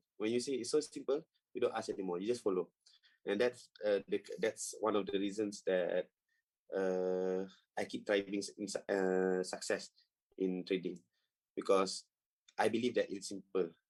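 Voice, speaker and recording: With a Malaysian accent, a man speaks at a moderate pace with long, frequent pauses, the sound dry and close with no echo. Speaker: trading coach. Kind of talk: tutorial. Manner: halting.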